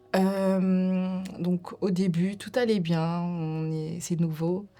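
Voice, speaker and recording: A woman's fairly low, dark, mellow voice, very slow and flat in a monotone. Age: 30s. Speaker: domestic violence survivor. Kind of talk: testimony. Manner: hesitant, many fillers.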